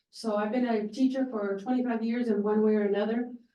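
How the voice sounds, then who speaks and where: A woman with an American accent talks at a fairly quick pace in a fairly high, dark, mellow voice with monotone, flat intonation and audible room echo. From San Benito County, California. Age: 60s. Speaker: county supervisor candidate. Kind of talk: candidate forum speech.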